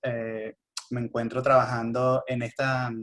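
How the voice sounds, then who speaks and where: A man with a Venezuelan accent. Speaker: geographer, GIS company specialist. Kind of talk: panel discussion.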